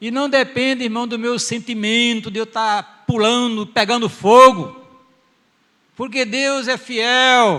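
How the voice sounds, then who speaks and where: In a raised, projected voice, a man with an extremely high pitch and a bright, sharp tone speaks at a very slow pace with fairly even intonation. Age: 70s. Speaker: pastor. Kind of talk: sermon. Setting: church.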